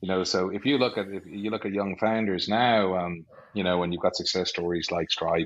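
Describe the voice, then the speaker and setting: A fairly quick delivery with an Irish accent and fairly even intonation. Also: man, very deep, low pitch for a man. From Ireland, North County Dublin. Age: 40s. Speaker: business executive. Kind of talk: podcast interview.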